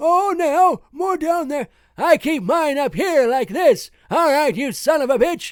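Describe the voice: On a very clean recording with a silent background, a man does a put-on character voice at an extremely high pitch, going fairly slowly.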